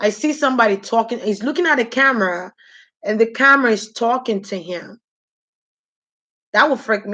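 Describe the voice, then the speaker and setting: In a Nigerian accent, a woman speaks at a fairly high pitch with a bright, sharp, animated tone and ordinary pitch variation. She keeps a moderate pace with long, frequent pauses against a quiet background. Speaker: spiritual reader on a livestream. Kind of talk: live stream chat with viewers. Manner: casual, animated.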